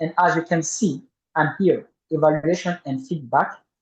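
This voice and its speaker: With a French accent, a man with a fairly high pitch speaks at a fairly slow pace. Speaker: toastmasters club member. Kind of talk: tutorial. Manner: halting.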